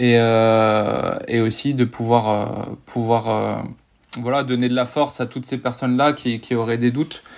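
Over a quiet background, a man talks fairly slowly at a medium pitch in a flat, monotone intonation. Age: 30s. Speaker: police officer and long-distance triathlete. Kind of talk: casual interview.

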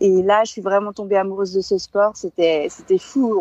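Dry and close with no echo, a woman's voice has a dark, mellow tone. She speaks at a medium pitch and a moderate pace. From France, Savoie (Alps). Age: 40s. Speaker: former climbing world champion, mountaineer. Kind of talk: interview.

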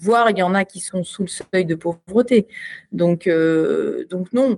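A woman's voice, dark and mellow in tone and somewhat breathy, moves along very slowly with ordinary pitch variation. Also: dry, close sound with no echo. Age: 50s. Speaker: retired Olympic sport shooter. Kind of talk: casual interview. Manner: hesitant, many repetitions.

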